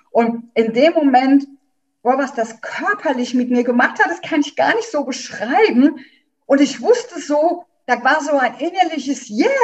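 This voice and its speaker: A woman's high-pitched voice carries lively intonation while she talks at a fairly slow pace. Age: 50s. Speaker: doula. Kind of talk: interview.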